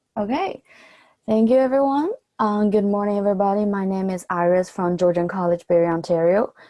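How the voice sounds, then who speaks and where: Speaking with a Chinese accent at a fairly quick pace, a woman of medium pitch has a dark, mellow tone, ordinary pitch variation and a dry, close sound with no echo. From mainland China. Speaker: college student. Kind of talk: presentation. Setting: video call.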